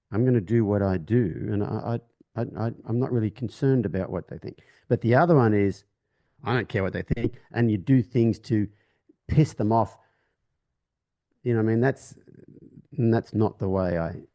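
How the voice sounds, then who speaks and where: A man's medium-pitched voice, dark and mellow in tone, at a moderate pace with long, frequent pauses and ordinary pitch variation, in a dry, close sound with no echo over a quiet background. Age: 50s. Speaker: horse trainer. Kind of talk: casual chat.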